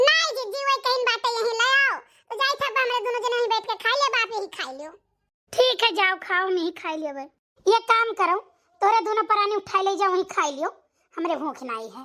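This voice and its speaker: A woman's squeaky, put-on character voice, extremely high-pitched, with very wide pitch swings, big swings in loudness and a fairly quick pace. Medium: voice reel. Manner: curt, casually dismissive.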